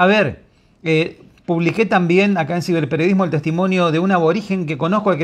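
Very fast speech against a quiet background. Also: man. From Argentina. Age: 50s. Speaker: online journalist. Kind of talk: video commentary. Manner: animated. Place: home room. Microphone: lapel.

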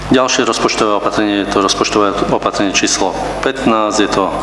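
A man speaks at a moderate pace with fairly even intonation. Noticeable background noise and audible room echo surround his voice. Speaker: mayor chairing council meeting. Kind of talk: formal council meeting proceedings. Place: meeting room. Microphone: podium.

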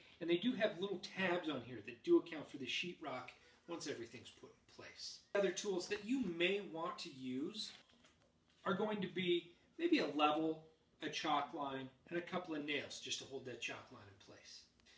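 With audible room echo, a man speaks at a moderate pace in a high pitch. His intonation is lively, with big swings in loudness. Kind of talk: tutorial. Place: home room.

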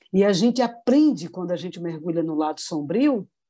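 Her pitch is fairly low and swings very widely. The woman's tone is dark and mellow. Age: 50s. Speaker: spiritist lecturer. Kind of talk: religious talk.

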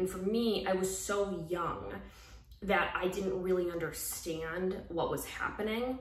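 A woman speaking fairly slowly, with audible room echo and light background noise. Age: 30s. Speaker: YouTuber and former reality TV cast member. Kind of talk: personal confessional vlog. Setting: solo video recording. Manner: hesitant, many filler words. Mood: earnest, serious, a bit emotional. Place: home room. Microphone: phone near.

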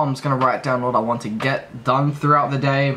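Over light background noise, a man speaks at a fairly quick pace with fairly even intonation. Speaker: trading vlogger. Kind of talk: casual vlog chat. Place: home room. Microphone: phone near.

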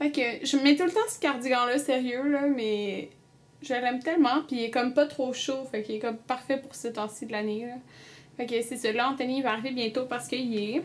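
The speaker has a Quebec accent and ordinary pitch variation. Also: woman, high pitch for a woman, moderate pace. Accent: Québécois French. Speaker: beauty vlogger; vlogger. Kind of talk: casual vlog chat. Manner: chatty, filler-heavy. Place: home room. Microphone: webcam.

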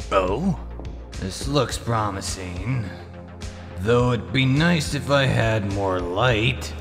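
A man's put-on character voice, fairly low in pitch, at a very slow pace over loud background music. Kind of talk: audio drama dub.

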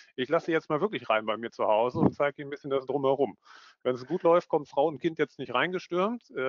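A man talks at a very fast pace with a fairly high pitch and lively intonation. The background is quiet and the sound is dry with no echo. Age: 30s. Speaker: management consultant, business psychologist. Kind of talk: online conference presentation. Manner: animated. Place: home room. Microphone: headset.

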